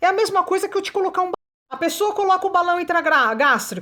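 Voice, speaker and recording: Her tone animated, a woman is speaking. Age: 40s. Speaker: weight-loss coach and content creator. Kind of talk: personal testimony vlog. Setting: live stream with chat.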